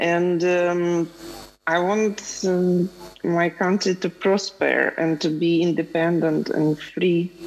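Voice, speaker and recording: Speaking very slowly, a woman uses a fairly low pitch and monotone, flat intonation. Her loudness stays very even, with noticeable background noise behind her. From Lviv, western Ukraine. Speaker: film producer. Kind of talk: panel discussion. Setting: video call.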